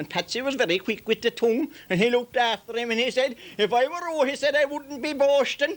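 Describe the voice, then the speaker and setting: A man with a Limerick accent speaks at an extremely high pitch and a fairly quick pace. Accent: rural Irish, Limerick. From Ireland. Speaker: traditional storyteller. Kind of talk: humorous folk storytelling. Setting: outdoors.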